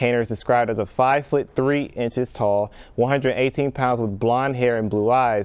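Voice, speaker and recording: Against a quiet background, a man with an American accent and a plain, everyday voice talks at a moderate pace, with a medium pitch and fairly even intonation. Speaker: broadcast journalism student intern news anchor. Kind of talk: TV news anchor read from prompter.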